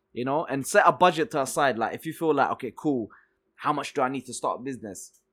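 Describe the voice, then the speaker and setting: A fairly high-pitched man with a London accent at a very fast pace, ordinary pitch variation and big swings in loudness, in a very clean recording with a silent background. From Egypt, then South London (Peckham) from 1997. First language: Arabic/Swedish. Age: 30s. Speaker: entrepreneur. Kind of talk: casual interview chat.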